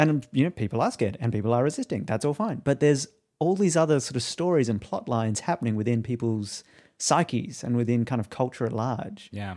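Speaking at a very fast pace with an Australian accent, a man has a medium pitch and a dark, mellow tone. The recording is very clean, with a silent background. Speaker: podcast co-host. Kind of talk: casual chat.

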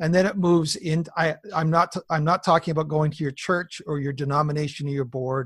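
In a plain, everyday voice, a man with a fairly high pitch speaks at a fairly quick pace with fairly even intonation. The recording is very clean, with a silent background and a dry, close sound free of echo. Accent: Canadian. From British Columbia, Canada. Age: 50s. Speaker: pastor. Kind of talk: interview.

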